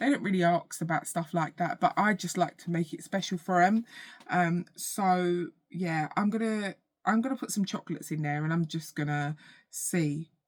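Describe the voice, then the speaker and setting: A woman with an English accent speaks at a moderate pace in a fairly low voice, her pitch varying in an ordinary way. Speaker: vlogger. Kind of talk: casual vlog chat. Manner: halting.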